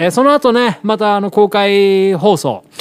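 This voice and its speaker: A man speaks fairly slowly while noticeable background noise plays behind him. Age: 40s. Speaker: radio host and pianist. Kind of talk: casual monologue. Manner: rambling with many fillers.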